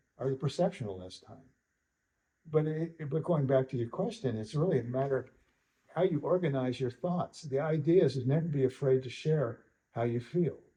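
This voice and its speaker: At a fairly quick pace, a man with a fairly high pitch and a dark, mellow tone sounds somewhat breathy, with big swings in loudness. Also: ordinary pitch variation. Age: 70s. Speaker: western artist and sculptor. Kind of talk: interview. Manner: halting, many repetitions.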